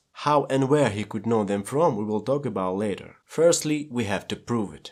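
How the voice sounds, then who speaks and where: A man speaks at a medium pitch with a Russian accent and ordinary pitch variation. The recording is very clean, with a silent background. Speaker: movie analysis youtuber. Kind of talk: scripted narration.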